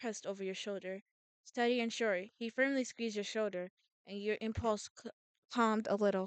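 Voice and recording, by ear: Someone reads aloud in a natural voice with fairly even intonation against a quiet background.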